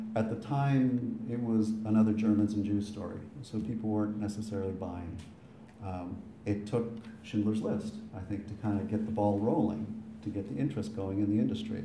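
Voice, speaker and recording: With an American accent, a man talks fairly quickly in a fairly low voice. The room echoes audibly, with light background noise. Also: fairly even intonation. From Boston. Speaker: son of the deceased giving eulogy; speaker. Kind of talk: eulogy. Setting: funeral with audience. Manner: talkative. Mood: recounting an angry exchange. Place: hall. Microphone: camera far.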